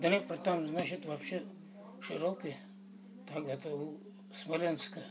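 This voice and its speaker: A man speaks at a very slow pace with long, frequent pauses. His pitch variation is ordinary, and there is noticeable background noise. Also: fairly high pitch for a man. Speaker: war veteran. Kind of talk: interview answer.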